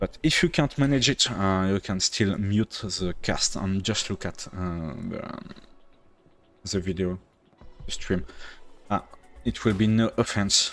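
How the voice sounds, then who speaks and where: A man with a French accent speaks fairly slowly at a fairly low pitch, with ordinary pitch variation and long, frequent pauses, as music plays in the background. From France. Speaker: game streamer and caster. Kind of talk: live game commentary stream. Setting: live stream. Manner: halting, many fillers.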